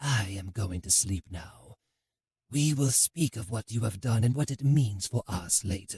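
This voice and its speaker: The speaker uses a put-on character voice with a low pitch. The pace is moderate. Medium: read story. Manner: terse, clipped phrases.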